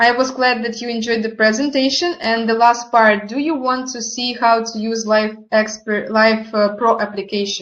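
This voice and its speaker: Speaking with a non-native accent, a woman keeps a moderate pace and hardly any pauses, her fairly high pitch held in fairly even intonation. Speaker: network marketing partner presenting products. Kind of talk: online product presentation. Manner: halting, with hesitations.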